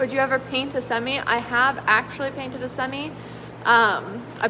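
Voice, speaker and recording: Amid noticeable background noise, a woman speaks at a moderate pace in a high, monotone, flat voice. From British Columbia, Canada. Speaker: car restorer and painter. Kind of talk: livestream chat reading comments. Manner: casual, filler-heavy.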